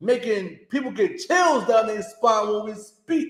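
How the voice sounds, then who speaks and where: A man's loud, high-pitched shouting at a moderate pace, with audible room echo. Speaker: religious class teacher. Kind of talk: sermon. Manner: high-pitched yelling.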